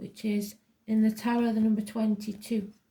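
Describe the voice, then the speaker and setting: A dark, mellow, somewhat breathy voice with an English accent and monotone, flat intonation. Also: woman. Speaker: tarot reader. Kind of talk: personal psychic reading. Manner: deliberately slow.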